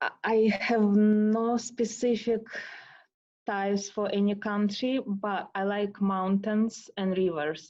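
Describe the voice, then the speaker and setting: A woman in a Russian accent at a very slow pace and medium pitch, against a quiet background. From Russia, Moscow. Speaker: tango dancer. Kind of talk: interview. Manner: halting.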